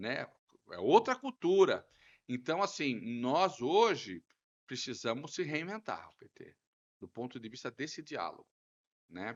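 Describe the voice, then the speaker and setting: With long, frequent pauses, a man talks at a fairly slow pace and a fairly high pitch, using vocal fry, very wide pitch swings and big swings in loudness. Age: 60s. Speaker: city councillor, politician. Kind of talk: podcast interview.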